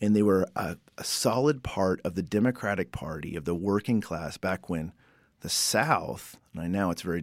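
With an unremarkable speaking voice, a man at a fairly low pitch talks at a moderate pace with lively intonation in a very clean recording with a silent background. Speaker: professor and podcast host. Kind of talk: educational podcast narration and interviews.

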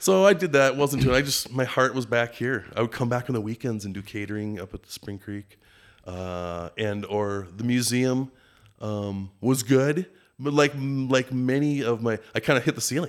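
A man with a Minnesotan accent speaks at a moderate pace and medium pitch with ordinary pitch variation and big swings in loudness, on a very clean recording with a silent background. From Minneapolis, Minnesota. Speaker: lodge general manager and fishing guide. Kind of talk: casual interview chat.

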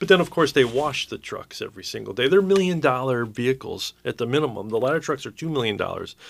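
Over a silent background in a very clean recording, a man with an unremarkable speaking voice talks at a fairly quick pace with lively intonation. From Connecticut, US. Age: 50s. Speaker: fire chief. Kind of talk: radio interview.

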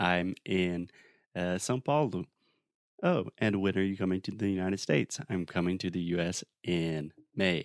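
A man speaks at a fairly slow pace in a very deep, low voice, the sound dry and close with no echo. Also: ordinary pitch variation. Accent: South Carolina. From US South. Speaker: English teacher. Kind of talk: casual lesson. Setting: remote call.

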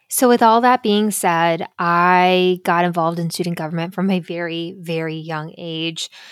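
A woman speaks in an unremarkable speaking voice, fairly low in pitch, at a moderate pace with hardly any pauses. Her intonation is fairly even, on a very clean recording with a silent background. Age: 30s. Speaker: podcast host. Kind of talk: casual monologue.

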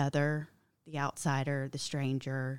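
A woman speaks with a Georgia accent at a very deep, low pitch and a fairly slow pace. Her intonation is monotone and flat, and the recording is very clean with a silent background. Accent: Southern American (Georgia). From US South (Milledgeville, Georgia). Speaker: English education professor. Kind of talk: casual interview.

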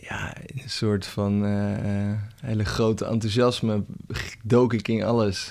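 Against noticeable background noise, a man speaks very slowly in a fairly low, flat, monotone voice. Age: 30s. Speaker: coach. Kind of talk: casual chat.

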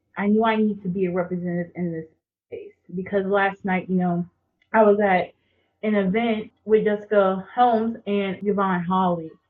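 A woman speaks with an American accent at a medium pitch. Her intonation is monotone and flat, and her pace is moderate. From rural North Carolina, Jacksonville. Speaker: graduate student. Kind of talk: casual interview conversation.

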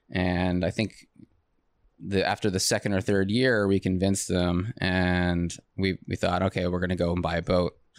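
At a moderate pace and with monotone, flat intonation, the speaker talks in an American accent in a very clean recording with a silent background. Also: man. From New York State (Long Island, upstate). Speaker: construction project management director. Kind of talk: interview conversation. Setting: studio. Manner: laid back, calm.

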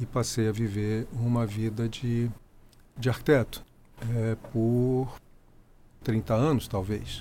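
Long, frequent pauses mark a man's very slow delivery. His medium-pitched voice has a dark, mellow tone and fairly even intonation. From Rio de Janeiro, Brazil. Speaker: photographer and architect. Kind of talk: interview.

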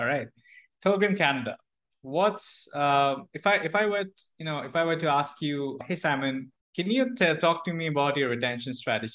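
Against a quiet background, a man with a normal speaking voice talks at a moderate pace, with fairly high pitch and lively intonation. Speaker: podcast host. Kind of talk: casual interview.

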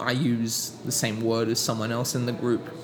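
A man talks fairly quickly while noticeable noise sits in the background. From Sydney, Australia. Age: 30s. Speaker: teacher and poet. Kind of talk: casual interview chat.

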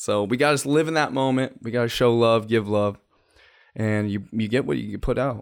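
A man with a medium pitch talks at a fairly quick pace in an unremarkable speaking voice. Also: ordinary pitch variation. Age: 30s. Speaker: podcast host. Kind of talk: casual chat.

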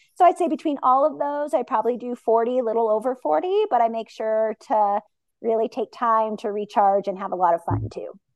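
A woman speaks at a fairly quick pace with lively intonation and fairly high pitch. Music plays in the background. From US, rural Montana. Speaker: program manager, former teacher. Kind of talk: interview. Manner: casual with frequent fillers.

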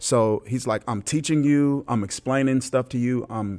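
A man with an American accent talks at a moderate pace and medium pitch with ordinary pitch variation, a plain, everyday voice on a very clean recording with a silent background. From US South, Mississippi. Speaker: pastor. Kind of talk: interview. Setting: conference venue.

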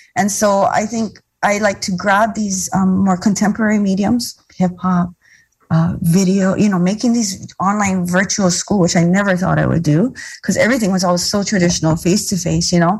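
Her voice is somewhat breathy, set at a medium pitch. The woman keeps her intonation fairly even. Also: moderate pace. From Hawaii, Molokai. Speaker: educator and community organizer. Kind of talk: interview.

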